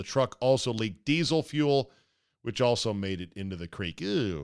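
A man talks with an unremarkable speaking voice, his medium pitch carried by lively intonation at a moderate pace. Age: 50s. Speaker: podcast host. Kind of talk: casual chat.

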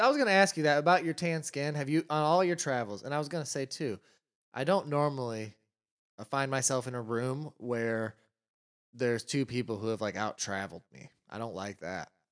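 At a fairly quick pace, a man with an American accent and a plain, everyday voice talks at a medium pitch with lively intonation over a quiet background. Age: 20s. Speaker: podcast co-host. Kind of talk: casual chat.

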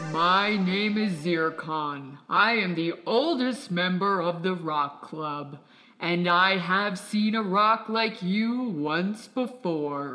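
A put-on character voice, raised and projected, delivers the lines at a very slow pace. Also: man, high pitch for a man. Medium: audio drama. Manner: slow, wise, commanding.

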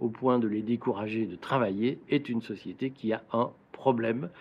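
A man with an unremarkable speaking voice talks at medium pitch and a fairly slow pace, with fairly even intonation. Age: 50s. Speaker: political commentator and business owner. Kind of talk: explanatory monologue to camera. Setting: outdoors in a garden.

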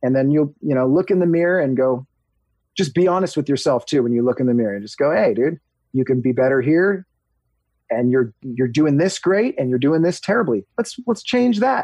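This man has an American accent and a fairly high pitch. His intonation is lively and his pace fairly quick. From Southern California (Huntington Beach). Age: 40s. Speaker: podcast co-host and barber. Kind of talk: casual chat.

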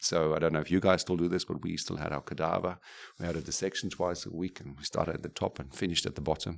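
A very fast, monotone, flat delivery from a man with a very deep, low pitch over a quiet background. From Namibia. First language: German or Afrikaans. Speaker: neurosurgeon. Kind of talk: interview. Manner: halting, many fillers and repetitions.

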